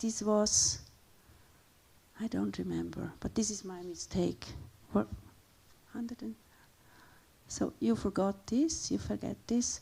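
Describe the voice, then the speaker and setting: A woman speaks with a Swiss accent. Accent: Swiss Romansh accent in English. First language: Romansh. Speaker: linguist and guest speaker. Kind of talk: lecture presentation. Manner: halting, with frequent repetitions and fillers.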